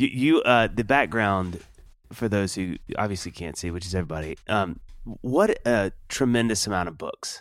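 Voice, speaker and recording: A man with an American accent speaks in an unremarkable speaking voice at a fairly low pitch and a moderate pace. His intonation is lively, and the recording is very clean with a silent background. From Mississippi, US South (Kosciusko). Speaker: podcast co-host. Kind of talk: reading a guest bio; casual interview.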